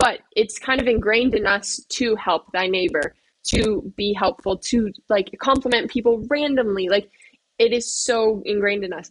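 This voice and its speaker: Speaking with a Canadian accent, a woman uses a fairly high pitch with ordinary variation at a moderate pace, recorded dry and close with no echo. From Nova Scotia, eastern Canada. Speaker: veterinary student. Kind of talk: casual interview chat. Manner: animated.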